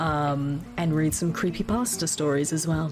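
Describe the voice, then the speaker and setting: Music plays in the background as a woman talks at a moderate pace. Her pitch is very deep and low. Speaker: VTuber streamer. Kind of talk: casual talk to chat.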